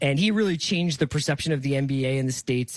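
A man with an American accent talks at a very fast pace in a fairly high voice, his pitch varying in an ordinary way, captured dry and close with no echo. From US, Philadelphia. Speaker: podcaster and editorial director. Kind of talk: radio interview. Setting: home studio, remote.

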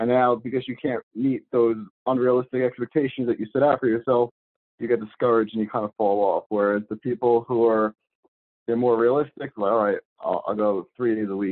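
A man with an ordinary speaking voice at a medium pitch, fairly quick pace and fairly even intonation. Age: 30s. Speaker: fitness content creator. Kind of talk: casual chat.

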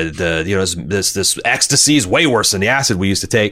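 A man's very deep, low pitch at a very fast pace, with noticeable background noise. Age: 40s. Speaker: podcast co-host. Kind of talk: casual chat.

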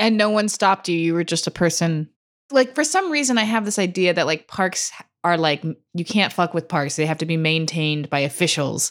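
A woman with an American accent talks at a fairly quick pace in a fairly low pitch. She has an ordinary speaking voice with ordinary pitch variation. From California, Santa Cruz. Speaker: podcast host. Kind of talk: casual chat.

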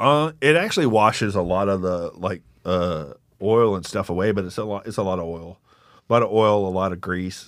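On a very clean recording with a silent background, a man with an East Texas accent talks at a fairly low pitch and a fairly quick pace, with ordinary pitch variation. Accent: East Texas Southern. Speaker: war veteran and comedian. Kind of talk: casual chat.

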